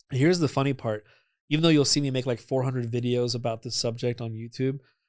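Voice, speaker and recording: Here a man talks at a very fast pace with fairly even intonation. The recording is very clean, the background silent. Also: medium pitch for a man. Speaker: energy healing practitioner. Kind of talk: podcast interview.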